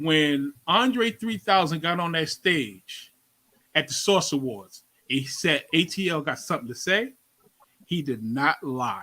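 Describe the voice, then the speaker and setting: A man's bright, sharp, fairly high voice with very wide pitch swings at a fairly slow pace. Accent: New York. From New York (Brooklyn). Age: 50s. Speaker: radio host. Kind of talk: interview.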